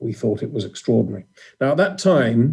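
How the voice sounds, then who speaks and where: A man's dark, mellow voice at a medium pitch, in a British accent. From England. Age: 50s. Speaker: former motorsport journalist and communications director. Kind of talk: interview.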